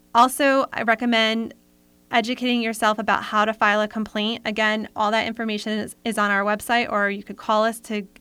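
A woman with an American accent speaks fairly quickly in a fairly high, bright, sharp voice with flat, monotone intonation. The recording is very clean, with a silent background. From Rhode Island, US. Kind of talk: interview.

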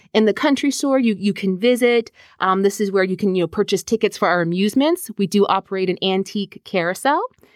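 A woman with an American accent talks at a fairly quick pace and medium pitch in a plain, everyday voice, recorded very cleanly, dry and close with no echo, over a silent background. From US, northern Virginia. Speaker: park manager. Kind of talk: interview.

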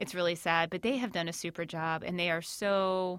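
A woman with an American accent and a normal speaking voice talks at a moderate pace and fairly low pitch, in a very clean recording with a silent background. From Northern Virginia, Shenandoah Valley. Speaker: county stormwater permit coordinator. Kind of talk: interview.

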